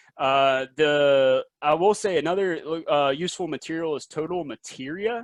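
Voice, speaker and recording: Here a man with a Southern US accent speaks at a high pitch with lively intonation, in a dry, close sound with no echo. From US South, South Carolina. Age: young. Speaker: industry presenter. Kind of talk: webinar presentation. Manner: fast; hesitant, many fillers.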